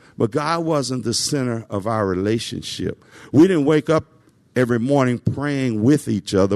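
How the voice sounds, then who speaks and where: A man with a Southern US accent speaks at a moderate pace and a medium pitch, his intonation lively. The sound is dry and close with no echo, and the background is quiet. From US South, Nashville, Tennessee. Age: 60s. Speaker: civil servant. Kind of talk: testimony. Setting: stage with audience. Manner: halting.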